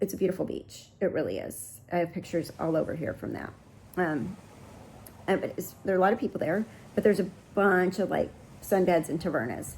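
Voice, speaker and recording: Vocal fry runs through this voice with an American accent. It moves at a fairly quick pace with ordinary pitch variation. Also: woman. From United States. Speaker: travel vlogger. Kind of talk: travel vlog. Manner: casual, chatty.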